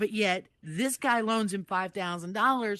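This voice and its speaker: In an ordinary speaking voice of medium pitch, a woman talks at a fairly slow pace with ordinary pitch variation against a quiet background. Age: 60s. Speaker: jury foreperson in roleplay court. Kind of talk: casual roleplay court verdict explanation.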